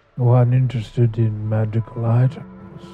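Faint music plays in the background as a man uses a put-on character voice. He talks at a moderate pace and a medium pitch. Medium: actual play. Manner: smooth, self-important, serious.

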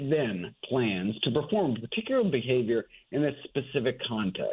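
A man speaks at a moderate pace. His is a normal speaking voice. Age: 50s. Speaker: physician and nutrition author. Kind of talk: interview.

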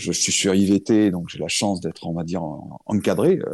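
A man talks in a fairly low pitch. His tone is dark and mellow. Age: 40s. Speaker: firefighter and crypto investor. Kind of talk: interview. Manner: halting.

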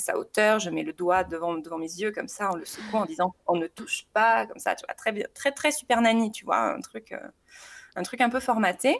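Speaking at a fairly high pitch, a woman makes very wide swings in pitch. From southern France. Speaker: mother sharing experience. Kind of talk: casual interview testimony. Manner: hesitant, many repetitions.

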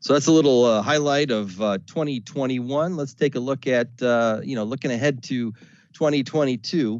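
A man with an American accent, a plain, everyday voice, medium pitch, ordinary pitch variation, and a fairly slow pace. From US South. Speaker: radio sales manager. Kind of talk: webinar presentation. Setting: webinar recording. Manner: casual with filler words.

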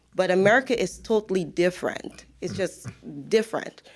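A woman speaks with a Guyanese accent. Her pitch is medium and her pace moderate. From Guyana. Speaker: financial professional. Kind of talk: interview. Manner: laughs often.

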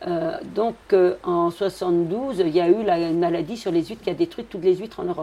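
At a fairly quick pace, a woman talks in a medium pitch with a dark, mellow tone and ordinary pitch variation. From Brittany. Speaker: fisherwoman. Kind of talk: interview.

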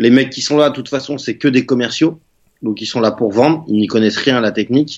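Here is a man with a plain, everyday voice at medium pitch. He speaks at a fairly quick pace with ordinary pitch variation. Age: 30s. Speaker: web marketing entrepreneur. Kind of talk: interview.

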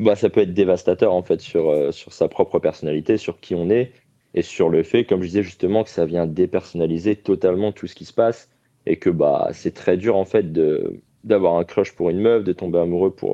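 A man talks at a moderate pace with a very deep, low pitch. His intonation stays fairly even while his loudness swings widely. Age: 30s. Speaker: caller to a live dating advice hotline. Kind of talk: personal testimony on a call-in show. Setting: live call-in broadcast on social media. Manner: halting, with many fillers and repetitions.

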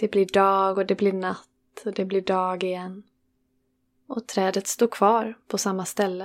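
In a very clean recording with a silent background, a woman speaks at medium pitch and a fairly slow pace, her tone soothing and calm and her intonation monotone and flat. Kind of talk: guided meditation. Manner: slow, soothing, calm with long pauses; gentle, warm, unhurried.

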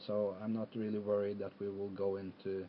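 A man speaks with a Norwegian accent. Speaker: football fan and guest. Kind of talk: casual chat. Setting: video call.

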